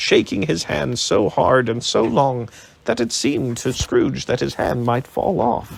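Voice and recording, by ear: The voice is reading aloud in a natural voice. It sounds like someone reading a text.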